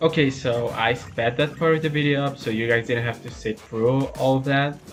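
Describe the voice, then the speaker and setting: Over music in the background, a man speaks in a relaxed tone at a medium pitch with ordinary pitch variation. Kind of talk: gameplay commentary. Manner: casual, relaxed.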